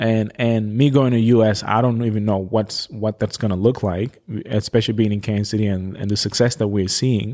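A man talks with a dark, mellow tone at a fairly low pitch and a moderate pace, with hardly any pauses. His intonation is fairly even, and the recording is very clean with a silent background. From West Africa. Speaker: mental health storyteller and agency founder. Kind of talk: casual interview conversation. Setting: studio. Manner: loud, big personality.

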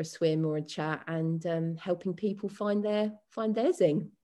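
With a southern English accent, a woman speaks in a dark, mellow tone at a fairly low pitch, her intonation fairly even, over a quiet background. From West London. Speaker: dance and fitness coach. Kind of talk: casual interview.

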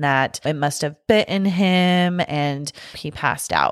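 Her voice sits very deep and low. The pitch moves in an ordinary way. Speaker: podcast host. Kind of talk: casual chat.

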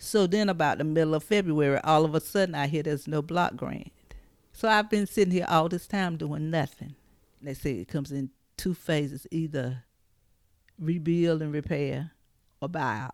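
A woman speaks with an eastern North Carolina accent at a very deep, low pitch. Her pace is moderate, with ordinary pitch variation, on a very clean recording with a silent background. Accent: Southern US, eastern North Carolina. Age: 60s. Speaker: flood survivor. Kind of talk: testimony.

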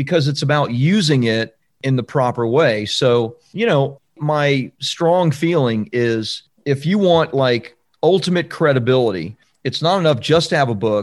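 In a normal speaking voice, a man talks at a fairly slow pace with an American accent. His pitch is fairly high and his intonation lively. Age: 50s. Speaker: book publishing coach and author. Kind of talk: podcast interview.

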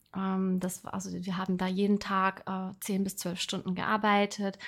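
A somewhat breathy woman at medium pitch and a fairly slow pace, on a very clean recording with a silent background. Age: 30s. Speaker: podcast host, personal development coach. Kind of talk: casual personal monologue. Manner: filler-heavy, halting.

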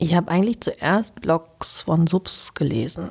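A woman's fairly low, somewhat breathy voice carries a dark, mellow tone and ordinary pitch variation. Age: 40s. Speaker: interview guest. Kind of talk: casual interview.

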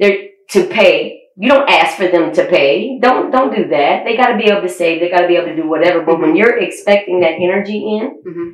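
Audible room echo surrounds a woman's voice. She speaks at a fairly quick pace with lively intonation. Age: 40s. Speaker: podcast host. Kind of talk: casual chat. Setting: studio.

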